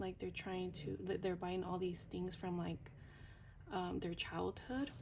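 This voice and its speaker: A woman's medium-pitched voice with vocal fry and fairly even intonation. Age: 30s. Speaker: budgeting vlogger. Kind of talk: casual vlog. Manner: whispering but trying to speak loudly; hesitant, many fillers.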